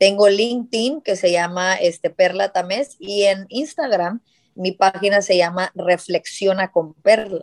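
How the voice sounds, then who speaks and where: A woman's medium-pitched, unremarkable speaking voice at a fairly slow pace, with ordinary pitch variation and a dry, close sound with no echo. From South Texas border (Hidalgo). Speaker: entrepreneur. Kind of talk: interview.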